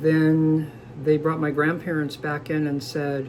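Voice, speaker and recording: Speaking at a moderate pace, a man keeps his fairly high voice in fairly even intonation. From Southern California, San Diego. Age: 60s. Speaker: interviewee sharing life story. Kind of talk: personal testimony.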